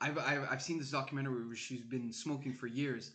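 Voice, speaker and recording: In a French accent, a man talks at a fairly quick pace and medium pitch. His intonation stays fairly even. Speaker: podcast guest, medical student. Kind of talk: casual chat.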